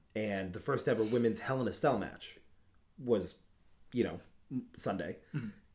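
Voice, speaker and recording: With an animated tone, a man talks at medium pitch and a moderate pace. His pitch variation is ordinary, and he takes long, frequent pauses. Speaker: podcast host. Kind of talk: casual chat.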